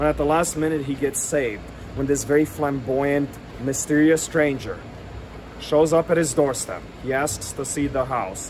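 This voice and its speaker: A man with an American accent and a fairly high pitch, animated and dramatic in tone, at a moderate pace over light background noise. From New Orleans, US South. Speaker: local history tour guide and video storyteller. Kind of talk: true-crime narration. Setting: outdoors on location in front of the house. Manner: conversational storyteller, wry and tongue-in-cheek, with dramatic emphasis; animated, relishing gruesome details, some filler words. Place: street. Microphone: phone near.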